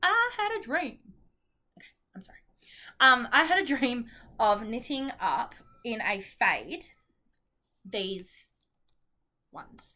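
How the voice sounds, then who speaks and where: Speaking with an Australian accent at a very slow pace, a woman uses a high, bright, sharp voice with very wide pitch swings, big swings in loudness, and long, frequent pauses. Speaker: knitting vlogger. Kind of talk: casual vlog chat. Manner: chatty, hesitant with many ums.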